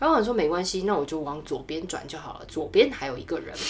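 Fairly low-pitched woman with an animated tone and a fairly quick pace, noticeable background noise around her. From Taiwan. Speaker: marketing professional. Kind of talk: casual interview chat, storytelling. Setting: studio.

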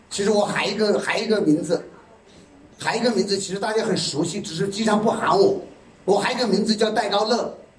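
Against noticeable background noise and audible room echo, a man talks at a very fast pace in a high pitch with an animated tone. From China, Yichang (Hubei). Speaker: sales presenter at product launch. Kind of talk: sales pitch. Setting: stage with audience.

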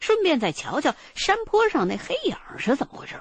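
Very wide pitch swings in a woman's moderately paced speech. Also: dry, close sound with no echo. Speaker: narrator. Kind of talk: fiction audio drama narration, first-person storytelling. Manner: immersive, suspenseful storyteller with a measured pace, building eerie mystery; conversational, colloquial Northern Mandarin, with rhetorical questions and wry asides.

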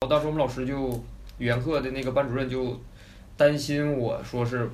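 Against audible room echo, a man with a Northeastern Chinese accent speaks with monotone, flat intonation. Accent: Northeastern Mandarin. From Northeast China. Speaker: former overseas student in the UK. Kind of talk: casual chat.

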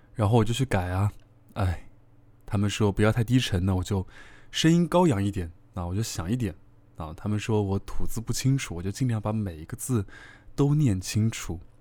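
Lively intonation and a dark, mellow tone mark this man's voice, broken by long, frequent pauses. The recording is very clean, with a silent background. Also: fairly low pitch for a man, moderate pace. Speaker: online radio host. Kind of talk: casual monologue to listeners. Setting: solo at a microphone.

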